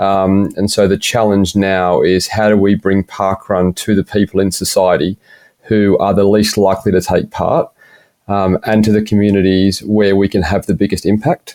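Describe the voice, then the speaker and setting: A man's fairly low voice, dark and mellow in tone, in a monotone, flat intonation, at very even loudness, dry and close with no echo. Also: moderate pace. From Australia, Shellharbour NSW. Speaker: running organisation staff member. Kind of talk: podcast interview.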